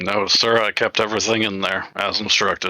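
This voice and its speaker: A man uses a raspy, put-on character voice at a fairly low pitch. He talks at a moderate pace with monotone, flat intonation. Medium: actual play. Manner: brief, formal, obedient.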